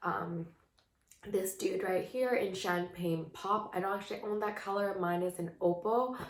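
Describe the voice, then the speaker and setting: Audible room echo surrounds a woman speaking at a fairly slow pace with a medium pitch and fairly even intonation. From Canada. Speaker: beauty vlogger. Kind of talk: casual chat. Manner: hesitant, many fillers.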